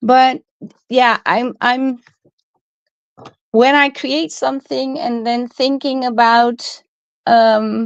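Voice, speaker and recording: A woman with a Dutch accent speaks at a high pitch with fairly even intonation. Her pace is very slow, with long, frequent pauses. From Netherlands. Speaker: crafting YouTuber. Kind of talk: live stream casual chat. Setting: live stream. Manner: hesitant, many fillers.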